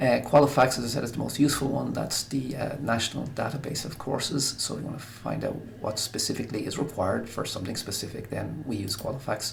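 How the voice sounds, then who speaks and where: Speaking at a very fast pace with an Irish accent, a man uses medium pitch and ordinary pitch variation, with noticeable background noise and audible room echo. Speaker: guidance counsellor. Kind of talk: recorded presentation.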